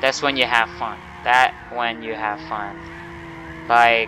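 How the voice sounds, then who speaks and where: A Thai accent against noticeable background noise. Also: man. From Thailand. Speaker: gaming YouTuber. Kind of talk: gameplay tutorial commentary. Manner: casual, halting.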